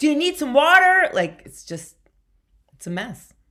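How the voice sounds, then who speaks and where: In a New York accent, a woman speaks with a bright, sharp tone and very wide pitch swings, on a very clean recording with a silent background. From New York (Bronx), Puerto Rican family. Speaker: comedian. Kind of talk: casual chat.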